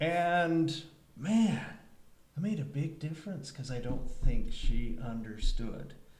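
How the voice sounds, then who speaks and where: A man speaks at a fairly high pitch with very wide pitch swings. Audible room echo surrounds his voice. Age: 60s. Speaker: panel moderator on elder care. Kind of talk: panel discussion. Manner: halting, many fillers.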